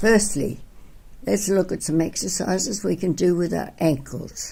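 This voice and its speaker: At a fairly slow pace, a woman talks at medium pitch in a dark, mellow tone with vocal fry and ordinary pitch variation. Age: 80s+. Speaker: physical education teacher. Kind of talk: tutorial.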